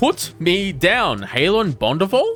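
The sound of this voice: Clear music plays behind a shrill, put-on character voice at a middle pitch and a very slow pace.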